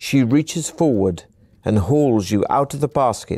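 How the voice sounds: This is a natural reading voice. It runs through the whole clip.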